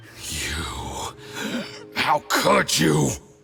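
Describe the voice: A man puts on a character voice, low-pitched with a bright, sharp tone and vocal fry, his pitch swinging very widely. He talks at a very slow pace while faint music plays in the background.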